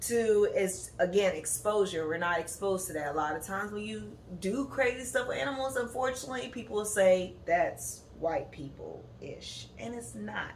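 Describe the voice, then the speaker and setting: Amid audible room echo, a woman talks at a moderate pace with very wide pitch swings and big swings in loudness. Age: 20s. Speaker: podcast host, graduate student. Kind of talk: casual monologue podcast. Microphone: no proper microphone, built-in device mic.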